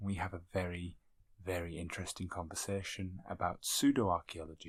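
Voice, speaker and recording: Quietly and at a moderate pace, a man with a very deep, low voice talks with fairly even intonation over a silent background in a very clean recording. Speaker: podcast host and archaeologist. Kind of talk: podcast intro. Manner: quiet, hushed.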